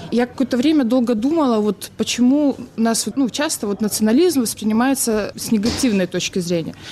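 A woman talking at a fairly quick pace with ordinary pitch variation over noticeable background noise. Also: fairly high pitch for a woman. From Belarus. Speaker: student. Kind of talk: panel discussion.

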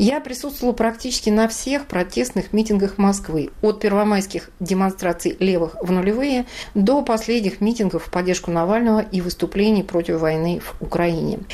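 Over noticeable background noise, a woman speaks at a medium pitch and a moderate pace with lively intonation. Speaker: journalist and poet. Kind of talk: scripted narration.

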